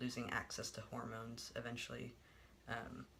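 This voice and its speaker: Noticeable background noise runs throughout. Through it, a man keeps to a moderate pace. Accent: American. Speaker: vlogger. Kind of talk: personal vlog monologue. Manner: halting, many filler words.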